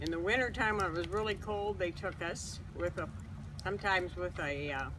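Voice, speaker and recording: A woman's voice at a moderate pace, with audible room echo. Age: 70s. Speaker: retired teacher. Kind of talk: personal life story.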